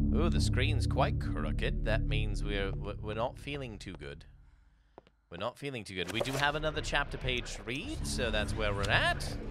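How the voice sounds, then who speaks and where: Noticeable background noise runs throughout. A man talks at a moderate pace. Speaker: gaming streamer. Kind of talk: casual gameplay commentary.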